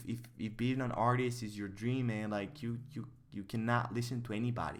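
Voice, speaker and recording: In a room with audible echo, a man speaks at a fairly quick pace and medium pitch with fairly even intonation. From Bulgaria. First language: Bulgarian. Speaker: artist and streamer. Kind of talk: casual livestream chat. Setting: livestream.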